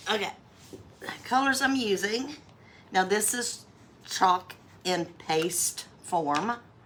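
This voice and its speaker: Over noticeable background noise, a woman at medium pitch talks very slowly with lively intonation and long, frequent pauses. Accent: North Carolina. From US South, North Carolina. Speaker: craft livestreamer. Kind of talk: live craft tutorial. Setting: livestream. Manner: casual, chatty.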